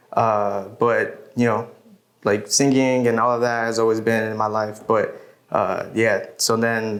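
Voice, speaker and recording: Amid noticeable background noise and audible room echo, a man speaks at medium pitch in a monotone, flat way. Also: very even loudness. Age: 20s. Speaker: musician. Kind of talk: interview.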